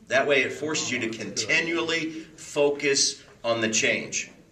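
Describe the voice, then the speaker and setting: A man's fairly high, animated voice with audible room echo. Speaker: counselor leading a class. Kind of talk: lecture. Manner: fast.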